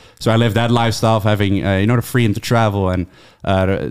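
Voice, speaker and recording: Talking at a very fast pace with a Dutch accent, a man keeps a fairly low pitch and a monotone, flat intonation. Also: very even loudness. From Netherlands. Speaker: YouTuber and author. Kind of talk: casual podcast chat.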